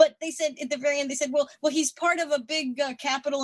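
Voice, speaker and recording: A woman speaks in a somewhat breathy voice. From US South, North Carolina mountains. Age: 60s. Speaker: retired air force officer and writer. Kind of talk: interview conversation. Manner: halting, many fillers and restarts.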